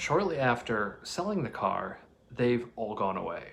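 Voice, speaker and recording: A quiet man's voice at a medium pitch, with lively intonation and a moderate pace. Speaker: car vlogger. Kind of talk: casual vlog talk. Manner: quiet, hushed.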